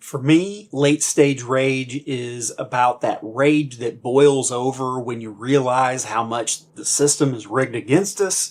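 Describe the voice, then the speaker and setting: With an American accent, a man speaks very slowly at a medium pitch with ordinary pitch variation, big swings in loudness and hardly any pauses. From United States. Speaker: combat veteran. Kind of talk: political commentary monologue.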